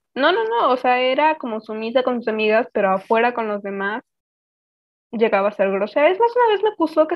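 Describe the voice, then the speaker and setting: A woman in a normal speaking voice, fairly high-pitched, with lively intonation and a fairly quick pace. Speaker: podcast co-host. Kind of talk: casual chat.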